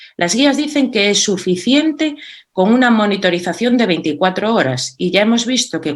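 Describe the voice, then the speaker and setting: A woman speaks at a moderate pace, and her pitch swings very widely. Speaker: cardiology speaker. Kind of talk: conference presentation. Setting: virtual meeting.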